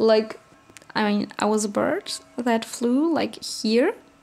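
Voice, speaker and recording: Over noticeable background noise, a woman talks at a very slow pace, her fairly high pitch showing ordinary variation. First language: German. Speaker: vlogger. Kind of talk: casual rant to camera. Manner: halting.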